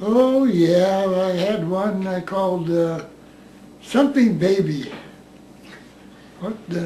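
With an American accent, a man with a high pitch talks at a very slow pace, his pitch varying normally, leaving long, frequent pauses over light background noise and audible room echo. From United States. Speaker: war veteran. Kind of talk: interview. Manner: halting. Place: home room.

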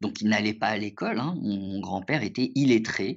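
Fairly low male voice, pitch varying in an ordinary way. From France (left Morocco at age 7). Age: 40s. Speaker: lawyer. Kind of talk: interview. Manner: hesitant, many fillers.

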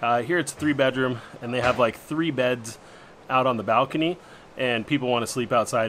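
Against light background noise, a man speaks at a moderate pace with ordinary pitch variation. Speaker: travel vlogger. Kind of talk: casual vlog chat. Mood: cheerful, relaxed. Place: home room. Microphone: phone near.

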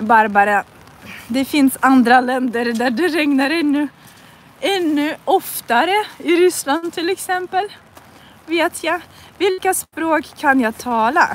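A woman with a Russian accent speaks at a high pitch and a very slow pace. Her intonation is lively, and the sound is dry with no echo. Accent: Russian-accented Swedish. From northern Russia. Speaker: language teacher. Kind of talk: live language lesson while walking. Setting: outdoors in the rain. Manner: slow, repetitive learner-friendly speech. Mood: cheerful. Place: street. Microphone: phone near.

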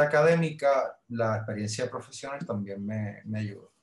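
A man with a Puerto Rican accent sounds somewhat breathy, with ordinary pitch variation and audible room echo. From Puerto Rico. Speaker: librarian; podcast guest. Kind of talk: casual interview. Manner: halting, repeats words. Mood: relaxed, reminiscing. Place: home room. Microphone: video call.

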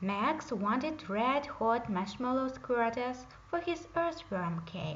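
A woman's fairly high, fairly bright voice, slow in pace with lively intonation, in a room with audible echo

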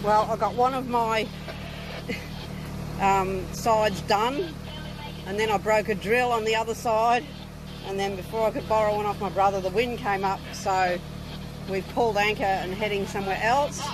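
Against noticeable background noise in a dry recording with no echo, a woman speaks at a moderate pace with fairly even intonation and long, frequent pauses. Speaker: solo sailor vlogger. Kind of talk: casual vlog chat. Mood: cheerful, happy. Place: boat. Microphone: phone near.

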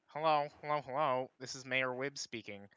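Using a put-on character voice, a man speaks at medium pitch and a moderate pace with fairly even intonation, in a dry, close sound with no echo.

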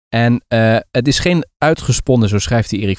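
At a moderate pace, a man with an ordinary speaking voice talks at medium pitch with lively intonation. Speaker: podcast co-host. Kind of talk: casual chat. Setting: remote call.

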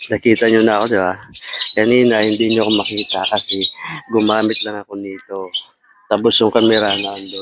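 A soft-spoken man talks at a fairly quick pace with a fairly low pitch. Noticeable background noise runs behind him. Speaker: vlogger. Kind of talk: live vlog chat. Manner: animated.

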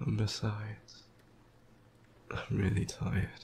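In a put-on character voice with a husky, rough edge, vocal fry and a slightly mellow tone, the speaker talks at a very slow pace with monotone, flat intonation. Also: man, fairly low pitch for a man.

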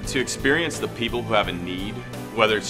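A man speaking, with clear background music. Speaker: auctioneer. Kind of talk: interview answer. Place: studio.

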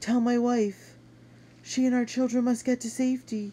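Someone uses a put-on character voice with a fairly high pitch at a moderate pace.

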